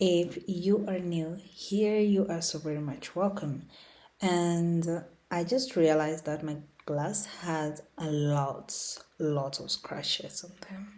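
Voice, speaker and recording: Speaking very slowly with a non-native accent, a woman uses a fairly low pitch, ordinary pitch variation and big swings in loudness. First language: not English. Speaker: lifestyle YouTuber. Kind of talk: unscripted rant. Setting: home recording on laptop. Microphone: laptop mic, no camera.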